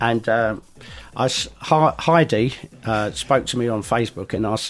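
The man's pitch varies in an ordinary way. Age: 50s. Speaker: DJ and record label founder. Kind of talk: casual interview chat. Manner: halting, many repeated words and fillers.

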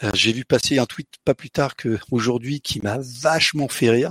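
The sound is dry and close with no echo as a man speaks at medium pitch. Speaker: software developer and conference organizer. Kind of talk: interview.

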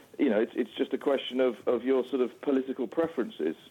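Here a man talks with a British accent. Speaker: rail campaigner. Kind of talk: interview. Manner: halting.

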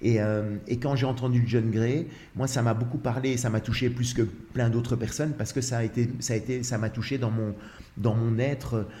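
A man with a dark, mellow, somewhat breathy tone speaks at medium pitch and a moderate pace, his intonation monotone and flat. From Belgium. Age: 60s. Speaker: actor in a one-man show about couples. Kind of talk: casual chat. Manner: halting, many repetitions.

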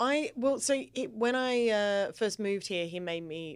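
Speaking with an Australian accent, a woman keeps a medium pitch with very wide pitch swings, a fairly slow pace and hardly any pauses. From Australia, Adelaide. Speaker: comedian. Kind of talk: casual chat.

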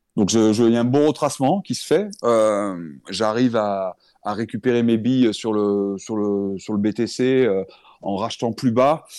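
Speaking at a very slow pace with a slight southern French accent, a man uses a medium pitch and a dark, mellow tone with ordinary pitch variation against a quiet background. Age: 40s. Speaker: firefighter and crypto investor. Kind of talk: interview. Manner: halting.

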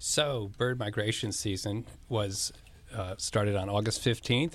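An ordinary speaking voice: a man with fairly low pitch, fairly even intonation and a moderate pace. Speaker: former city councilman. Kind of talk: radio interview.

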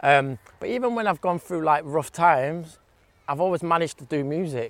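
A man talks at a moderate pace in an English accent. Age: 30s. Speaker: DJ and music producer. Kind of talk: casual chat. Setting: outdoors.

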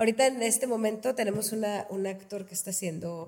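This woman's voice has a dark, mellow tone and is somewhat breathy. She speaks at a fairly quick pace. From Reynosa, Tamaulipas, northern Mexico. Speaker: theatre founder and researcher. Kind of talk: casual interview.

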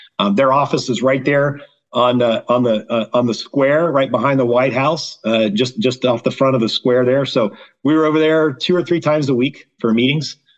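The speaker has a plain, everyday voice with ordinary pitch variation. The pace is moderate and the loudness very even. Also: man, medium pitch for a man. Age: 50s. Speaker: agricultural policy lobbyist and wargaming club member. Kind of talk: casual interview chat.

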